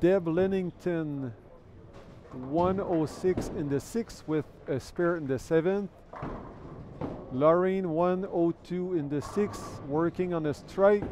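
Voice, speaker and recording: A man talks at a very slow pace with a French Canadian accent. His pitch is high, with ordinary variation. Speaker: bowling commentator. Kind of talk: live commentary. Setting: bowling centre livestream.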